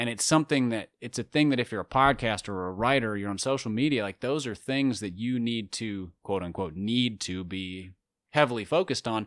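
Talking at a fairly quick pace, a man uses an unremarkable speaking voice at medium pitch with ordinary variation and an American accent, recorded very cleanly with a silent background and a dry, close sound with no echo. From US, urban area. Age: 30s. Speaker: author and podcaster. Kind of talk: interview conversation.

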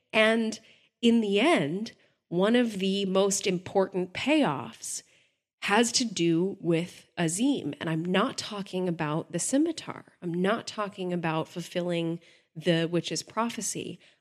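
A woman at a medium pitch with ordinary pitch variation and a very slow pace, on a very clean recording with a silent background. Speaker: podcast co-host. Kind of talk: casual chat.

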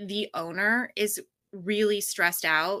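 A woman's bright, sharp, medium-pitched voice with an American accent and fairly even intonation, on a very clean recording with a silent background. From US Pacific Northwest. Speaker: public relations business founder. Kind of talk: interview conversation. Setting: home office.

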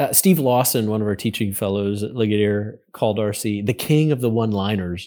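A man with an American accent talks at a fairly quick pace with hardly any pauses, his fairly low pitch, dark, mellow tone and ordinary pitch variation captured in a very clean recording with a silent background. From Western Pennsylvania. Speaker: college president and church historian. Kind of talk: interview.

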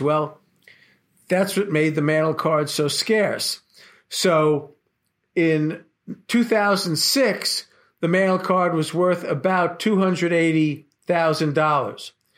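This man has a high voice with an American accent, ordinary pitch variation and very even loudness. He talks at a very slow pace on a very clean recording with a silent background. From Brooklyn, New York. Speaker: attorney and memorabilia collector, author. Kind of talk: interview.

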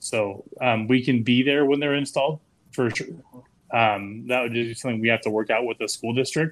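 A man speaks at a moderate pace with fairly even intonation and a medium pitch. It is an unremarkable speaking voice. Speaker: beard club member. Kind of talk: casual chat.

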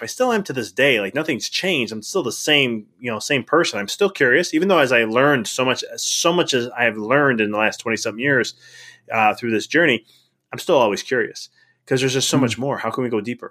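With an American accent and a bright, sharp tone, a man speaks at a medium pitch and a fairly quick pace, using lively intonation in a very clean recording with a silent background. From Chicago area, Illinois. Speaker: chiropractor turned life coach. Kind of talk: podcast interview.

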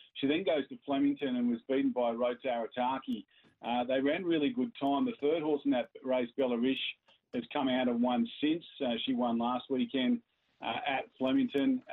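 Here is an unremarkable speaking voice from a man at medium pitch. He keeps fairly even intonation at a moderate pace. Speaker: racing analyst. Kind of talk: casual chat.

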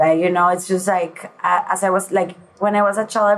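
A woman speaks in a Venezuelan accent. Her pitch is medium and her pace moderate. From Venezuela, Caracas. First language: Spanish. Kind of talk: interview.

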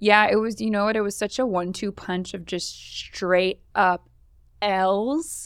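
A woman talks at a fairly slow pace with medium pitch and ordinary pitch variation. She has an ordinary speaking voice. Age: 30s. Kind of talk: casual chat.

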